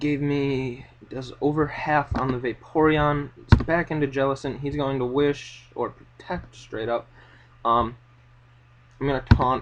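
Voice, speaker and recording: Shaky and fairly high-pitched, a man speaks at a fairly slow pace with monotone, flat intonation. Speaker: Pokemon battle commentator. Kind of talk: live gameplay commentary. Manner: shaky, unsteady.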